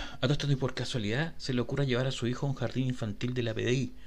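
A man with a Chilean accent, medium pitch, vocal fry and a very fast pace. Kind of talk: comedic segment.

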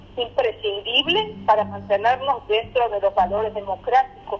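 There is noticeable background noise. A woman talks at a fairly slow pace. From Argentina. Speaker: educator and Holocaust scholar. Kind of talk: interview.

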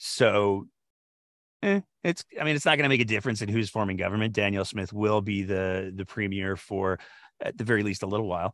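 With a Canadian accent, a man speaks in an unremarkable speaking voice at a fairly low pitch. He talks at a fairly quick pace against a quiet background. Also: ordinary pitch variation. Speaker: podcast host. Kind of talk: casual political discussion.

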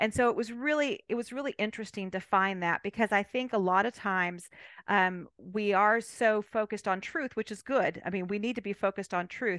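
An ordinary speaking voice with an American accent moves at a fairly quick pace with hardly any pauses and ordinary pitch variation, in a dry, close sound with no echo against a quiet background. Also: woman, medium pitch for a woman. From California. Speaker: novelist. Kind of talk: interview.

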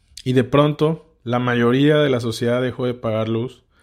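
A man's medium-pitched, monotone voice with flat intonation, at a moderate pace on a very clean recording with a silent background. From Mexico, Tabasco. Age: 30s. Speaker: podcast host, politician. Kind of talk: political commentary monologue.

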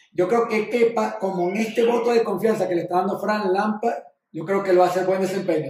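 In a room with audible echo, a man with a high-pitched voice speaks with ordinary pitch variation. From Venezuela. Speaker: sports podcast co-host. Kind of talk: casual chat.

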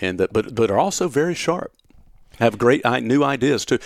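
Speaking at a fairly quick pace with lively intonation, a man with a Southern US accent is heard in a dry, close sound with no echo. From upstate South Carolina, Gaffney. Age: 50s. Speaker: TV meteorologist. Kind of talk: casual interview. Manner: fast.

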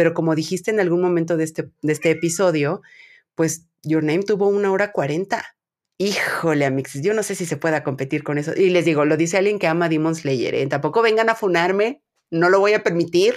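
On a very clean recording with a silent background, a woman speaks fairly quickly in a fairly low voice with ordinary pitch variation. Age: 30s. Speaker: podcast host. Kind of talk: casual chat.

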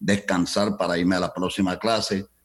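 At a fairly quick pace, a man with a fairly low pitch talks in a normal speaking voice. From Colombia. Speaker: entertainment business founder. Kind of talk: interview.

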